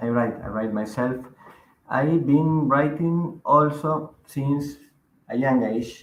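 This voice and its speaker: Audible room echo carries a man's fairly high voice in a Spanish accent, delivered at a very slow pace with ordinary pitch variation. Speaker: magazine editor and writer. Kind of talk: interview.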